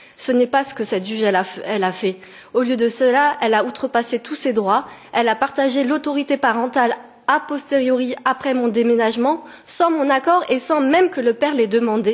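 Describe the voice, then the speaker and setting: A woman speaks at a fairly quick pace. Her voice is high-pitched, with ordinary pitch variation. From France. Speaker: petitioner. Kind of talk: testimony. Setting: parliamentary committee hearing. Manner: halting, with hesitations.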